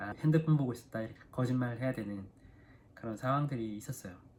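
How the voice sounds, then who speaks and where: Speaking at a medium pitch with ordinary pitch variation, a man has an unremarkable speaking voice. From South Korea. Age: 30s. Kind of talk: casual talk to camera.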